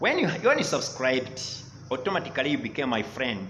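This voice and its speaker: Noticeable background noise and audible room echo surround a man speaking at a fairly quick pace in a medium pitch. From Rwanda. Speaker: English teacher. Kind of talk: online lesson. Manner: animated.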